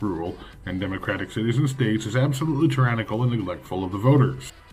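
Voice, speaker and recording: Faint music plays in the background while the speaker rushes along very fast with ordinary pitch variation. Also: man. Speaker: video creator, political commentator. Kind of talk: casual political rant to camera, then a rhetorical pep talk. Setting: home video, self-recorded. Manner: profane and brash, self-mocking, punchy; pep-talk stretch: rising, fiery, declamatory, alliterative, defiant. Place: home room. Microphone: phone near.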